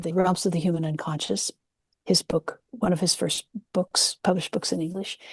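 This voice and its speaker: Speaking in a West Coast accent, a woman with a fairly low voice keeps her intonation fairly even, the sound dry and close with no echo. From US West Coast, San Francisco Peninsula. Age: 70s. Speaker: nurse-midwife and psychedelic historian. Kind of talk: interview.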